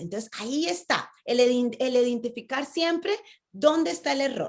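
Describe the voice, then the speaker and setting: An animated tone at a moderate pace. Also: woman. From Latin America. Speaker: public speaking coach. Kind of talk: online conference talk. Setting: video call.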